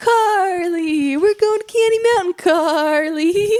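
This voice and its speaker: Someone performs a put-on character voice at an extremely high pitch. The delivery is fairly slow. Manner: goofy, exaggerated.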